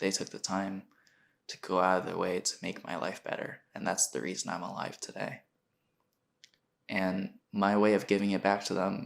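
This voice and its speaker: The man talks at a moderate pace. He takes long, frequent pauses. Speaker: podcast host. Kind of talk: personal monologue. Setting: home recording at a computer.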